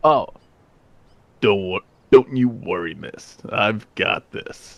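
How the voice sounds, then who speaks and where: A man puts on a gruff character voice at medium pitch. He drags it out at a very slow pace. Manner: reassuring.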